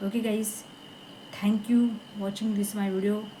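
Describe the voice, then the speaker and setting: A woman with a non-native accent speaks at a moderate pace in a medium pitch. Her intonation is monotone and flat, and the room echo is audible. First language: not English. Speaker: English learner vlogger. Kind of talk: casual vlog monologue. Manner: halting, many hesitations and repeats.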